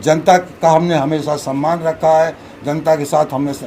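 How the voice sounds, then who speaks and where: A man speaks with audible echo in the room. Background noise is clearly noticeable. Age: 70s. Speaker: local politician. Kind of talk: press conference. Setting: at a residence, press conference.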